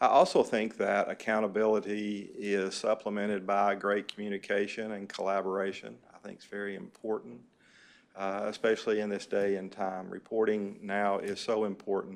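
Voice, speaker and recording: This man has a Southern US accent and a fairly low pitch. His intonation is monotone and flat, while his loudness swings widely. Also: moderate pace. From US South, southeast Kentucky. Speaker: chief financial officer. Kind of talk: self-introduction at a board meeting. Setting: board meeting room. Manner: halting, many fillers.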